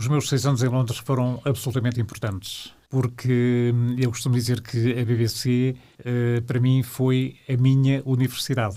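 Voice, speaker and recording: A dark, mellow tone, monotone and flat, fairly slow with hardly any pauses and very even loudness. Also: man. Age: 70s. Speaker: retired radio broadcaster and journalist. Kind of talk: interview. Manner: halting, many fillers.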